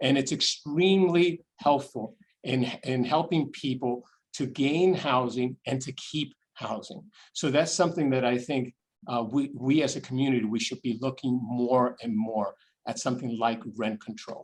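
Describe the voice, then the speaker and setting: Speaking with a New York accent, this voice keeps a moderate pace and ordinary pitch variation. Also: man, medium pitch for a man. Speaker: nonprofit chief executive and deacon. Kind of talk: online Q&A with donors. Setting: video call. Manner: halting with frequent repetitions.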